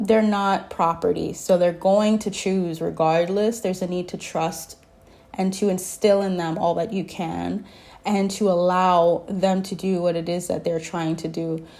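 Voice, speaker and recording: A woman's dark, mellow, medium-pitched voice, monotone and flat in intonation, at a fairly slow pace. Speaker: tarot reader. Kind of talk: spiritual channeled message, tarot reading. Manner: casual, conversational, hesitant.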